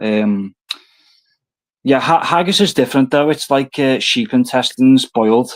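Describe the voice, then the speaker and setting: A man speaks at a moderate pace in a Liverpool accent, his pitch fairly high. The recording is dry and close, without echo. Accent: Scouse. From northern England, Liverpool. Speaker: guest on a livestream panel. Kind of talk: casual chat. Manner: halting.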